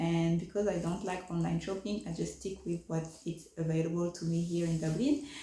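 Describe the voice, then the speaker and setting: A woman with a French accent speaks at a moderate pace in a fairly low pitch. Audible room echo and noticeable background noise come through on the recording. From France. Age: 30s. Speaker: fashion vlogger. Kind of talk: casual vlog chat. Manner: hesitant, many fillers.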